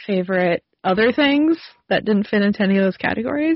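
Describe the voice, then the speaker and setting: This woman's medium-pitched voice carries lively intonation. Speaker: pop culture podcast co-host. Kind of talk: casual chat. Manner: animated.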